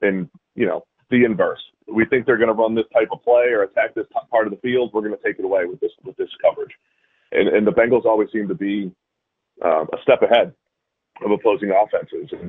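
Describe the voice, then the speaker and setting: Someone talks at a very fast pace in an American accent. Long, frequent pauses break up the speech. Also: man. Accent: Boston accent, comes out occasionally. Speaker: football analyst. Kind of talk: radio interview.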